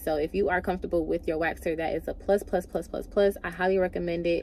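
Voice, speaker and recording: Speaking at a very fast pace, a woman keeps her fairly low pitch in fairly even intonation. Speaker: beauty vlogger. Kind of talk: vlog monologue. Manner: casual.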